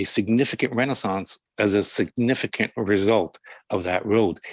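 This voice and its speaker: Speaking with a Canadian accent, a man uses ordinary pitch variation. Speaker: city councillor testifying as witness. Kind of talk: sworn testimony at inquiry. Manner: fast.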